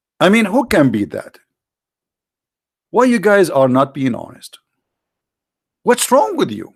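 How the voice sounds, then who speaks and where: A man with an Arabic accent speaks at a high pitch and a fairly slow pace. His pitch swings very widely, and he takes long, frequent pauses. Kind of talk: sarcastic religious polemic commentary. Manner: animated, sarcastic.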